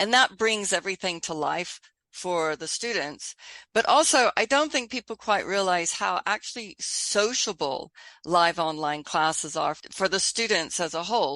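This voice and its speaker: At a moderate pace, a woman speaks with a bright, sharp tone, medium pitch and lively intonation. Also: dry, close sound with no echo, quiet background. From Texas. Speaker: online school founder, educator. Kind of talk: podcast interview.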